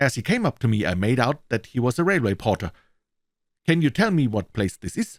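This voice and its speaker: A man in a German accent talks at a moderate pace and medium pitch, with very wide pitch swings. The sound is dry and close with no echo, on a very clean recording with a silent background. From Germany. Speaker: voice actor. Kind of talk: audiobook reading. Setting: studio.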